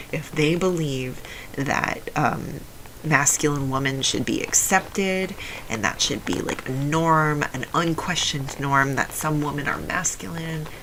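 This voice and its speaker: A woman speaks with ordinary pitch variation amid audible room echo and noticeable background noise. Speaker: vlogger. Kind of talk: casual monologue. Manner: halting.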